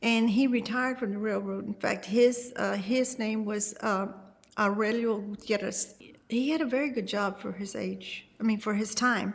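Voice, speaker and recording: Somewhat breathy and fairly high-pitched, a woman with an American accent speaks at a moderate pace with fairly even intonation. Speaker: longtime resident. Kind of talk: oral history interview.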